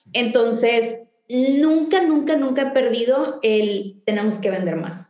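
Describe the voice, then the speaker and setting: The speaker talks at a very slow pace with lively intonation, and audible room echo surrounds the voice. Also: woman, high pitch for a woman. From Mexico, northern Tamaulipas. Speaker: chemical engineer and entrepreneur. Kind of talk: interview.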